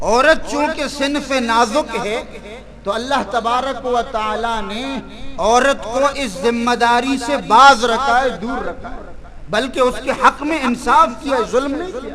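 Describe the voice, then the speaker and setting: An extremely high-pitched male voice, raised and projected, with ordinary pitch variation amid noticeable background noise. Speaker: Islamic scholar giving a religious sermon. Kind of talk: religious sermon (bayan).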